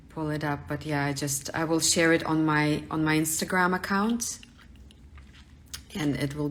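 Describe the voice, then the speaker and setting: In a Russian accent, a woman speaks at a moderate pace with a very deep, low pitch and fairly even intonation. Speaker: artist. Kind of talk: live studio tour. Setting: livestream from home studio.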